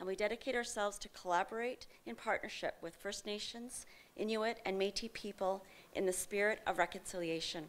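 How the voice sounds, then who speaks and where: Here a woman talks at a fairly quick pace. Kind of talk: formal opening remarks. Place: hall. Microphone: podium.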